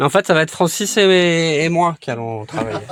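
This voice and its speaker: A man speaks at a fairly slow pace with very wide pitch swings. Noticeable background noise is present. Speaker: vlogger. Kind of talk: casual vlog talk. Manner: soft-spoken.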